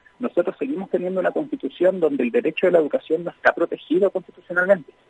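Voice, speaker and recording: Recorded with a dry, close sound and no echo, a man talks at a fairly high pitch. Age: 30s. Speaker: popular educator. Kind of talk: interview.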